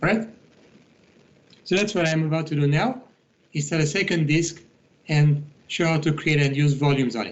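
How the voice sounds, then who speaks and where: Through audible room echo, a man with a fairly high voice speaks with long, frequent pauses. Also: ordinary pitch variation, fairly quick pace. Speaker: IT instructor. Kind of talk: tutorial.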